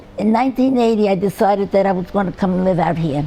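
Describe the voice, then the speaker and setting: Against noticeable background noise, a woman speaks with a New York accent. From New York City (Brooklyn). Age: 80s+. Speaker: retired restaurant owner. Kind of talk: oral history interview. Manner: halting.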